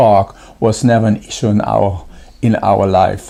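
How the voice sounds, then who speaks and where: A man speaks in a German accent at a fairly slow pace. His tone is dark and mellow. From Germany. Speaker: pastor. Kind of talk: devotional talk. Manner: halting, many fillers.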